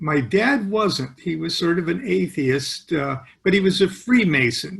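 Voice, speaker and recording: Male speaker with vocal fry, lively intonation and a fairly slow pace. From US Midwest (Nebraska, moved from California at seven). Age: 70s. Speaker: author and occult expert. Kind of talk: interview. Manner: casual, halting with fillers.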